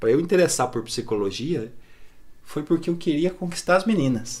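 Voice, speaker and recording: A man's voice rises and falls across a very wide range as he talks at a moderate speed. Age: 30s. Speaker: psychologist. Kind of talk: casual chat.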